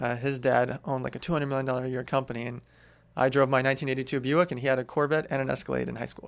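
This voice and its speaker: A man with an American accent at medium pitch, very fast and monotone, on a very clean recording with a silent background. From California, US. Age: 30s. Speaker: entrepreneur. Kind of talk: casual interview.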